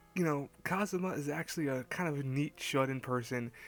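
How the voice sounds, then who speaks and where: A man's fairly high voice with music in the background. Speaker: anime reviewer. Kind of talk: casual review talk to camera. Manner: quiet, hushed.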